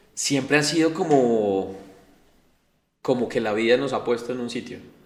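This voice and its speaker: Audible room echo around a man's medium-pitched voice with ordinary pitch variation. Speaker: city councillor, politician. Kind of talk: interview. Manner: fast; casual, hesitant fillers.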